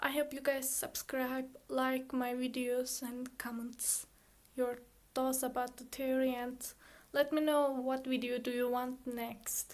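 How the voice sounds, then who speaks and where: A woman's high pitch in a non-native accent, very slow and monotone, with flat intonation. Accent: foreign accent in English. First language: Turkish. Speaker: student YouTuber. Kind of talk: casual chat; reading aloud. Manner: halting; monotone, robotic.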